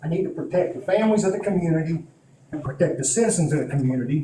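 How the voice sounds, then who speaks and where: Amid noticeable background noise and audible room echo, a man speaks in a high pitch. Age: 60s. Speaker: police chief. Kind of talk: council meeting testimony. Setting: town council meeting.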